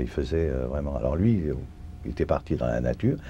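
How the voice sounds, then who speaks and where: This man's voice has a very deep, low pitch. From France, Paris. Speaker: Holocaust survivor. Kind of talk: testimony. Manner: halting, many hesitations.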